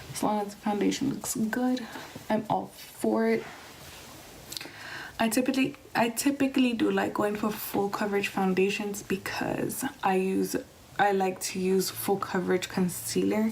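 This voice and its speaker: This woman keeps a moderate pace while noticeable background noise sounds around her. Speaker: beauty vlogger. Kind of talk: tutorial. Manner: soft-spoken.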